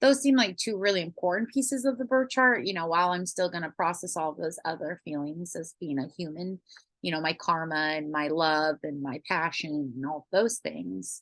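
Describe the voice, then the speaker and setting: Against a quiet background, a woman with an unremarkable speaking voice and a fairly low pitch talks at a moderate pace with lively intonation. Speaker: astrology coach and teacher. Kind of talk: lecture.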